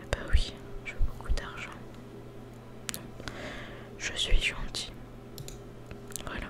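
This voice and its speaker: Whispered words come very slowly. Pauses are long and frequent. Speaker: ASMR gamer. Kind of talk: ASMR gaming commentary. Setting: home studio microphone. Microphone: studio mic.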